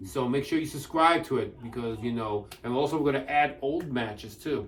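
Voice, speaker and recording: A man at a moderate pace and fairly high pitch, with ordinary pitch variation, audible room echo and noticeable background noise. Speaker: wrestling show host. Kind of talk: casual chat. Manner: halting, stuttering.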